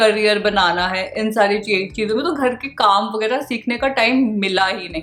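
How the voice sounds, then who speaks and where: Fairly high-pitched female speech with ordinary pitch variation over music in the background. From India (Shimla). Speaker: vlogger. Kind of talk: casual talk to camera.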